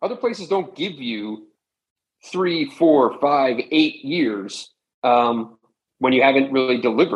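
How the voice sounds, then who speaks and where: A man with an American accent has an ordinary speaking voice at a fairly high pitch. He talks at a fairly slow pace with lively intonation. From Philadelphia. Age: 30s. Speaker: sports reporter. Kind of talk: casual chat.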